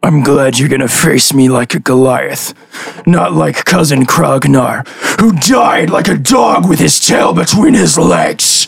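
In a put-on character voice, a raspy man speaks at a medium pitch and a fairly slow pace. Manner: boastful, challenging.

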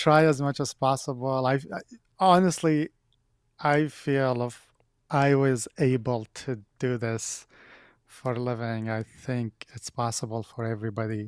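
In a very clean, silent recording that sounds dry and close with no echo, a man with an Arabic accent talks at a fairly slow pace and medium pitch, with fairly even intonation and long, frequent pauses. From Iraq (Baghdad). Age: 30s. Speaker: film and TV composer. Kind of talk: podcast interview.

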